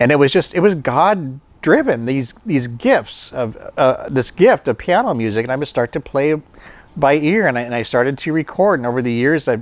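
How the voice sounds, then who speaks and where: Speech proceeds at a moderate pace. Its pitch shows ordinary variation. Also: man. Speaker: podcast host, pastor's son sharing testimony. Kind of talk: personal testimony talk. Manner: halting, many repetitions.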